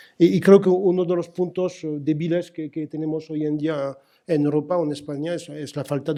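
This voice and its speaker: A man with a fairly high pitch and a dark, mellow tone speaks at a moderate pace with fairly even intonation, in a very clean recording with a silent background. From France. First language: French (speaking Spanish). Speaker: telecom industry executive. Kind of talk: conference panel talk. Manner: halting, many fillers and repetitions.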